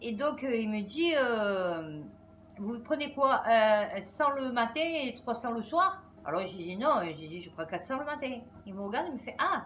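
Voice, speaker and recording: A woman talks at a fairly slow pace with a fairly high pitch and very wide pitch swings. Her loudness swings widely, and audible room echo surrounds her. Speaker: YouTuber commentator. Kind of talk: casual vlog chat. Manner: animated.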